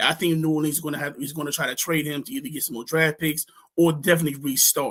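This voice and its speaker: Fairly high-pitched for a man, his speech has fairly even intonation. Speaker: fantasy football podcast host. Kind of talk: casual chat. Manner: fast; halting, many fillers.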